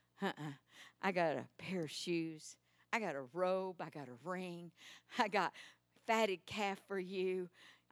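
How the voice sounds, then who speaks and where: A woman with a Texan accent talks at a fairly slow pace, leaving long, frequent pauses. Her voice sits at a medium pitch with ordinary pitch variation. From Texas. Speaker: preacher. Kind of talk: sermon. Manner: animated.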